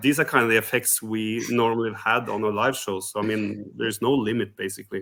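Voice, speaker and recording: With a Norwegian accent, a man speaks very fast at a medium pitch. His intonation is monotone and flat. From Norway. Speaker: rock singer, contest entrant. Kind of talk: interview. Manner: halting, many fillers.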